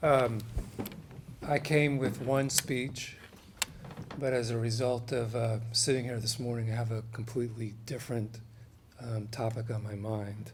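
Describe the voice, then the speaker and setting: A man with an American accent speaks fairly slowly at a medium pitch, in a monotone, flat intonation. Long, frequent pauses break up his speech, and the room echoes audibly. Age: 60s. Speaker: panelist, psychologist. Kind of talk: panel talk. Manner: halting.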